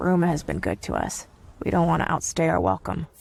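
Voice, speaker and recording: Putting on a raspy character voice, a man speaks at a fairly high pitch and a fairly quick pace. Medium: machinima. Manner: casual, informal.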